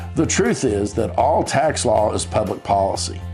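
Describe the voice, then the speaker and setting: Music plays in the background as someone talks in an upbeat tone with an American accent. The pace is fairly slow. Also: man. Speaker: tax attorney. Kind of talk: informational explainer to camera. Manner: friendly, upbeat, conversational.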